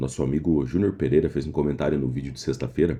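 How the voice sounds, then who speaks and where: A man's very deep, low voice, dark and mellow in tone, with vocal fry, fairly even intonation and a very fast pace. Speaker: day trader youtuber. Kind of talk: casual trading vlog. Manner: quieter than usual.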